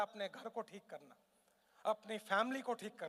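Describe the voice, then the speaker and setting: In an animated tone, a man speaks with a raised, projected voice. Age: 50s. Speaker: motivational speaker. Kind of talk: motivational seminar talk. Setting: stage with live audience.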